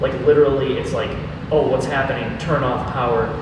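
A man talking at a fairly quick pace, with strong room echo and noticeable background noise. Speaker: guest. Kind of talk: interview answer. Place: hall. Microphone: camera far.

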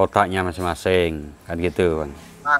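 A man with a plain, everyday voice speaks with fairly even intonation over light background noise. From Java, Indonesia. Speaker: machine seller. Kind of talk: casual vlog talk. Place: garage.

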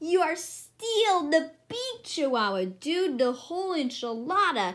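A woman's put-on character voice, extremely high in pitch with very wide pitch swings, at a fairly slow pace. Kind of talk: reading a picture book aloud.

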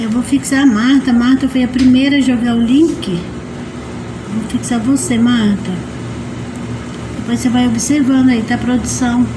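A woman speaks in a high-pitched flat monotone at a moderate pace, with long, frequent pauses. Noticeable noise sits in the background. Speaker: livestream host. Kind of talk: casual livestream chat. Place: home room.

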